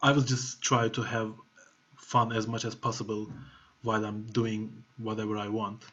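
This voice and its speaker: With a Turkish accent, a man speaks at a moderate pace in a monotone, flat intonation. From Turkey. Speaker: music producer. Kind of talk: masterclass talk. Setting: video call. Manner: casual, filler-heavy. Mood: relaxed, reflective. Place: home room. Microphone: webcam.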